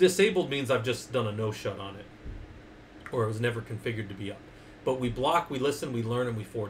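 Talking at a very fast pace, a man keeps a medium pitch with ordinary pitch variation. Audible room echo surrounds the voice. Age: 40s. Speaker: Linux user group presenter, IT instructor. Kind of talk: technical lecture on livestream. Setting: livestream on Discord and Twitch.

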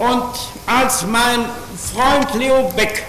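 An extremely high-pitched man's voice with a German accent, audible room echo and light background noise. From Germany, Berlin. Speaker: pastor and witness. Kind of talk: testimony. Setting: courtroom. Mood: earnest, measured. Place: hall. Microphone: podium.

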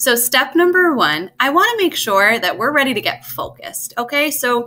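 A woman speaks in a raised, projected voice at a moderate pace. Her pitch swings very widely. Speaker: test prep tutor. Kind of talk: tutorial. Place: home room. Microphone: webcam.

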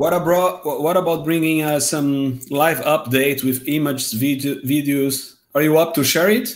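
The speech moves at a moderate pace with hardly any pauses, very even loudness and ordinary pitch variation. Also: man, fairly high pitch for a man. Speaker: podcast co-host and video maker. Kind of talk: casual chat. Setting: live stream. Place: home room. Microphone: headset.

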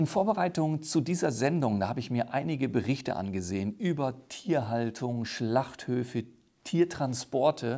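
Against a quiet background, a man with a dark, mellow tone speaks at a moderate pace with lively intonation. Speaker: talk show host. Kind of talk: talk show interview. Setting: studio. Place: studio. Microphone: lapel.

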